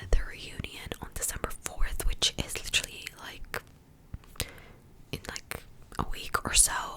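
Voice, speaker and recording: Against noticeable background noise, the speaker whispers at a fairly slow pace. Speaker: ASMR youtuber. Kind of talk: whispered TV recap. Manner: whispering; casual, filler-heavy.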